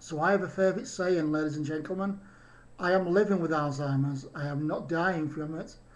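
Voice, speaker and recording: Audible room echo around a man's fairly high voice, fairly quick in pace and fairly even in intonation. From UK. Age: 50s. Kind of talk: video message to an audience.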